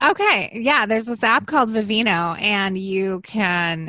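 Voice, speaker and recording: Over a quiet background, a woman speaks in a fairly high voice with a bright, sharp tone and ordinary pitch variation. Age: 40s. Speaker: podcast guest. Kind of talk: casual chat.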